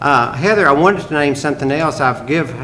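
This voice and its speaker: Audible room echo and noticeable background noise surround a man speaking at a fairly high pitch with lively intonation. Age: 70s. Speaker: mayor. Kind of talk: council meeting discussion. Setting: city council meeting.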